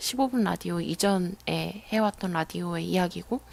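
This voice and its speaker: This is a woman speaking. Her pace is moderate. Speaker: radio DJ. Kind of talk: casual radio talk reading listener messages.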